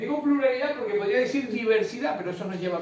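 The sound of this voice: A man speaks in a high voice with a Canarian accent and ordinary pitch variation. Strong room echo surrounds him.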